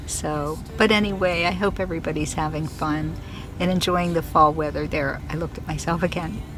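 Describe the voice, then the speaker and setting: The speaker talks at a fairly quick pace with fairly even intonation. Noticeable background noise and audible room echo fill the recording. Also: woman, very deep, low pitch for a woman. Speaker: fiber arts maker and vlogger. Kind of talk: casual vlog. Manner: chatty, rambling.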